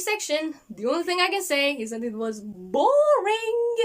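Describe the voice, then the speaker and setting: A woman speaks with a non-native accent at an extremely high pitch. Her voice moves in very wide pitch swings. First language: not English. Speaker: book reviewer, video creator. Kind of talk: casual video review. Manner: hesitant, with fillers and repeats.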